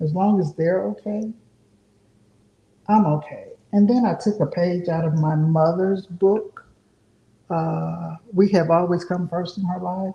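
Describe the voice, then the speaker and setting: A woman speaks at a fairly slow pace in a fairly low, somewhat breathy voice with a dark, mellow tone and ordinary pitch variation. Her speech has long, frequent pauses. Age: 60s. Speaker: artist. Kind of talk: casual chat.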